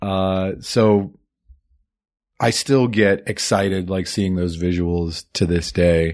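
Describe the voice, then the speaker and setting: A man talks very slowly in a very deep, low voice, his pitch varying in an ordinary way. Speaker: movie podcast host. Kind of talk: casual chat. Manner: announcer-like delivery.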